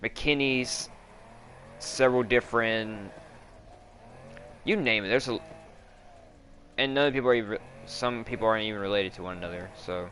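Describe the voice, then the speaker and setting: A man with a slight Australian accent speaks at a medium pitch with ordinary pitch variation. His loudness swings widely, and he takes long, frequent pauses. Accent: slightly Australian-sounding, drawn-out words. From US South. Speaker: gamer streamer. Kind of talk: casual chat while gaming.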